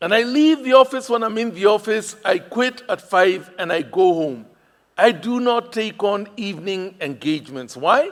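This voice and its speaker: With a Kenyan accent, a high-pitched man speaks at a moderate pace. His intonation is lively. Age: 60s. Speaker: pastor. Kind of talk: sermon. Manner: animated.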